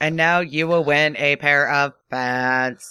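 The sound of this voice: A man's put-on, robotic character voice, fairly high in pitch and at a fairly slow pace.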